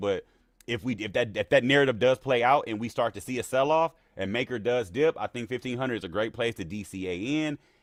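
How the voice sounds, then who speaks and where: In an energetic tone, the speaker goes at a very fast pace with ordinary pitch variation and a dry, close sound with no echo over a quiet background. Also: man. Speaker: crypto trading educator. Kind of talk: live-stream market analysis. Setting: live stream. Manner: casual, energetic.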